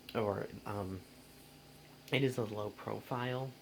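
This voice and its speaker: Soft-spoken and fairly low-pitched, a man talks at a very slow pace in a monotone, flat intonation. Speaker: vacuum cleaner hobbyist vlogger. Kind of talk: product review. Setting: bedroom at home. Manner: hesitant, many fillers.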